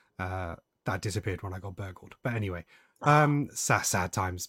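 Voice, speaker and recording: A man with a British accent, in a dry, close sound with no echo on a very clean recording with a silent background. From UK. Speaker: podcast host. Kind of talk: casual chat.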